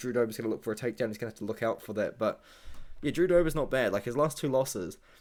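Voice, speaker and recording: A man's medium-pitched voice with a New Zealand accent, on a very clean recording over a silent background. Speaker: MMA YouTuber and fight analyst. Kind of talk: casual fight predictions monologue. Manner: casual, rambling with fillers.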